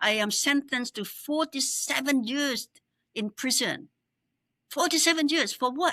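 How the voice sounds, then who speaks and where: A woman with a high pitch and a bright, sharp tone projects her raised voice at a fairly slow pace with ordinary pitch variation, recorded dry and close with no echo. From Cambodia. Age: 70s. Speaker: exiled opposition politician. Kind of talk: interview.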